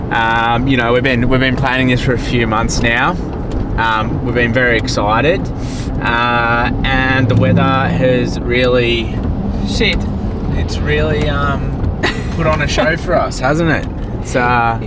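Against loud background noise, a man speaks at a fairly slow pace with long, frequent pauses, ordinary pitch variation, and a dry sound with no echo. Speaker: driver vlogger. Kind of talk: casual vlog chat. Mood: joking, wry. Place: car.

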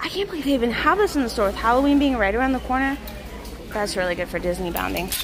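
The pace is fast, with lively intonation. Background noise is clearly audible. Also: woman, fairly high pitch for a woman.

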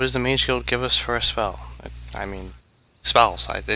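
Text read aloud, plainly

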